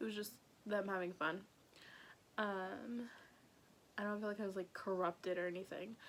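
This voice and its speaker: A woman speaks quietly at a moderate pace and a medium pitch, her intonation fairly even and her speech broken by long, frequent pauses. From North Dakota, Grand Forks. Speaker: YouTuber. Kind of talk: personal storytelling vlog. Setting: at home with family nearby. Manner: casual, lots of filler words; trying to speak quieter.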